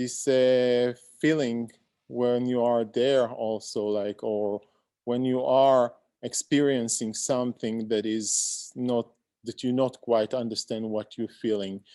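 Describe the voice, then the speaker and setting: A very slow, monotone man's voice, dark and mellow at medium pitch, dry and close with no echo over a quiet background. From Israel. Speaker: visual artist. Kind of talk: discussion feedback at online symposium. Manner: halting, many fillers.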